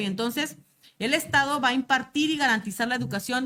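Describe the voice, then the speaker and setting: Her tone is bright and sharp. The woman speaks at a fairly quick pace with ordinary pitch variation. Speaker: teacher trainer. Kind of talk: lecture. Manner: fast.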